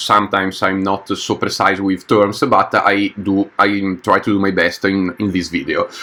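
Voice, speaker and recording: The speaker has a non-native accent and a monotone, flat intonation. The pace is moderate, with noticeable background noise. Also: man. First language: not English. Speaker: gameplay youtuber, engineer. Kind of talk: gameplay commentary. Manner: halting, many fillers.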